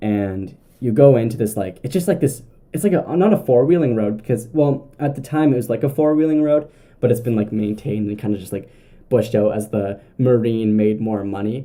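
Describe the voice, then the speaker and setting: A man's medium-pitched voice with a dark, mellow tone, lively intonation, a Canadian accent and a fairly quick pace. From southern Ontario, Canada. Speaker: podcast host. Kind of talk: casual storytelling monologue. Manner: casual, filler-heavy with self-corrections.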